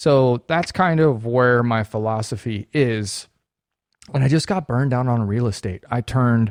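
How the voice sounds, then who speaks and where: A man speaks at a medium pitch and moderate pace with ordinary pitch variation. The sound is dry and close with no echo, against a quiet background. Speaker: real estate agent and video show host. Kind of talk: casual monologue to viewers. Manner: subdued, less enthusiastic than usual.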